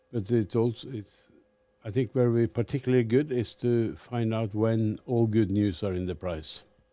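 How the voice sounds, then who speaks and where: The voice has a dark, mellow tone and ordinary pitch variation. It moves at a moderate pace in a Norwegian accent. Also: man, medium pitch for a man. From Norway. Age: 70s. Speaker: fund manager. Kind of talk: interview.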